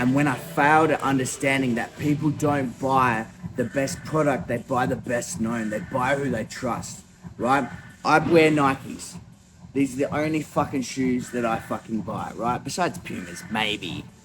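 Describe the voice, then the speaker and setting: A man with an Australian accent has an animated tone and ordinary pitch variation. There is noticeable background noise. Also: medium pitch for a man, moderate pace. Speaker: small business owner and vlogger. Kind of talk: motivational talk to camera. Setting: gym at night. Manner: animated, emphatic.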